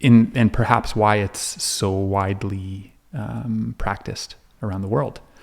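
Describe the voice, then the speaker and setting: A man with a French accent speaks at a fairly low pitch and fairly slow pace with fairly even intonation. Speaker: counselor. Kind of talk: podcast interview. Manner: halting, many false starts.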